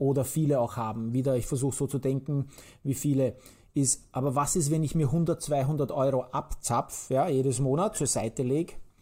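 In a very clean recording with a silent background, a man speaks at a moderate pace with a fairly high pitch, a dark, mellow tone, a somewhat breathy quality and very even loudness. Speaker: podcast host. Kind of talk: casual chat. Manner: energetic.

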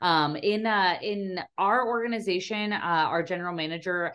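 A woman with an American accent, medium pitch and lively intonation at a moderate pace, against a quiet background. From Nebraska, outside Omaha. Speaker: minor league baseball team manager. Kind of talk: podcast interview.

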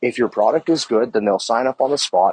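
At a fairly quick pace, a man talks with a medium pitch and ordinary pitch variation. The sound is dry and close, with no echo. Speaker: podcast host. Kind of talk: angry rant, profane and emphatic monologue. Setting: outdoors, walking, recorded on phone. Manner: heated, exasperated, swearing and repeating for emphasis; rambling filler-heavy speech with many ums and likes.

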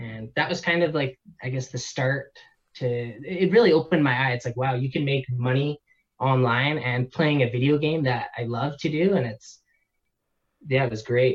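Somewhat breathy and medium in pitch, a man talks at a moderate pace with a Canadian accent and ordinary pitch variation. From Canada. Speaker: online seller and entrepreneur. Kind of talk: casual interview.

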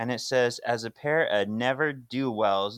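A man's normal speaking voice at medium pitch, with ordinary pitch variation, dry and close with no echo, on a very clean recording with a silent background. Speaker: podcast co-host. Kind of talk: casual chat.

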